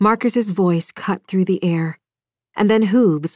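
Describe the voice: A quiet background behind plain reading aloud, the pitch varying in an ordinary way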